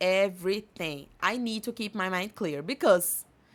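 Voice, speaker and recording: A woman's medium-pitched voice with a Portuguese accent and ordinary pitch variation, very slow, in a very clean recording with a silent background. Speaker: podcast host and English teacher. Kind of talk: casual podcast monologue.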